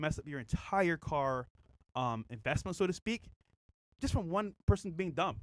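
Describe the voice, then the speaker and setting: With an animated tone, a man speaks at a high pitch and makes very wide pitch swings. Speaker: podcast co-host. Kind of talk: casual chat.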